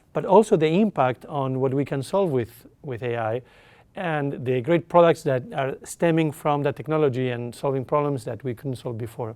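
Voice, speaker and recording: Speaking at a moderate pace with an Argentine accent, a man uses a fairly high pitch and ordinary pitch variation. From Argentina. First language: Spanish. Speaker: tech company executive. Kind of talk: interview.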